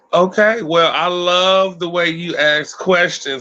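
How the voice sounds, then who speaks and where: A man with an American accent speaks in a high voice with fairly even intonation. Noticeable background noise runs behind him. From Los Angeles, South Central. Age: 30s. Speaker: YouTuber, mukbang creator. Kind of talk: interview. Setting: livestream.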